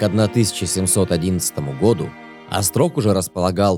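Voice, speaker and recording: A man speaks at a moderate pace in a very deep, low voice as music plays in the background. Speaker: documentary narrator. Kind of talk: documentary narration.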